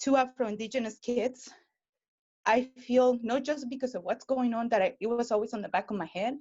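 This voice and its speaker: The woman's intonation is fairly even. She talks at neither a fast nor a slow pace. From Mexico. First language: Spanish. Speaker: public commenter at board meeting. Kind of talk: public comment. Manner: halting.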